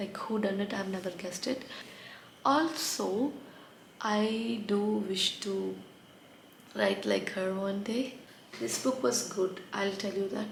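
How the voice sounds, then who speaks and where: Amid audible room echo and noticeable background noise, a woman of medium pitch speaks at a very slow pace with ordinary pitch variation and long, frequent pauses. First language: not English. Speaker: book reviewer. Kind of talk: casual book review vlog.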